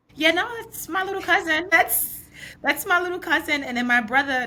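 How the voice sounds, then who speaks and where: In a New York accent, the voice is raised and projected, moving at a fairly quick pace with very wide pitch swings over noticeable background noise. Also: woman. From New York, Brooklyn. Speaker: podcast host. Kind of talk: podcast interview.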